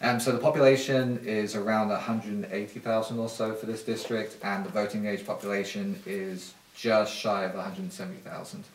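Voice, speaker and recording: A fairly quick, nearly pause-free British accent with ordinary pitch variation, audible room echo and noticeable background noise. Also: man, medium pitch for a man. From UK. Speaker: political candidate. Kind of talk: interview.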